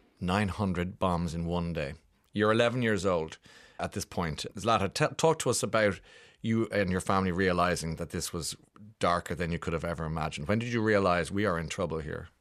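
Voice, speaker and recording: A man with an Irish accent, very deep and low in pitch with ordinary pitch variation, at a moderate pace over a quiet background. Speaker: radio host. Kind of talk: casual chat. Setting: studio. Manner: animated.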